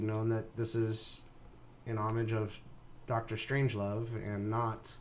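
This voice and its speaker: Audible room echo surrounds a man's medium-pitched voice. He talks at a fairly slow pace. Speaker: video game streamer and modder. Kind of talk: live stream game commentary. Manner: halting, stumbling with fillers.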